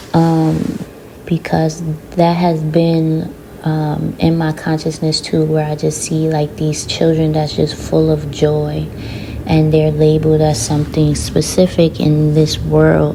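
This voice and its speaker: Amid noticeable background noise and audible room echo, a woman talks very slowly in a very deep, low, monotone voice with flat intonation. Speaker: spiritual channeler and oracle reader. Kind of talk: channeled oracle reading. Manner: hesitant, with many fillers.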